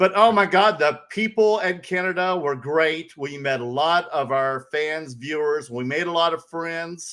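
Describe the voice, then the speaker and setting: In a very clean recording with a silent background, a man with a Southern accent speaks in an animated, bright, sharp tone at a fairly slow pace with hardly any pauses. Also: fairly high pitch for a man, ordinary pitch variation. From US South, North Carolina. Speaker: podcast co-host. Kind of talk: casual chat.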